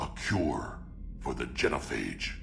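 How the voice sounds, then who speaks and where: Over loud background noise, a man whispers in a put-on character voice. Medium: video game. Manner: blunt, gruff.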